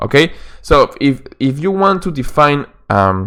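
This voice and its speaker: A man with a Peruvian accent speaks at a very slow pace in medium pitch. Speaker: chess coach. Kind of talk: instructional lesson narration. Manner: hesitant, with fillers.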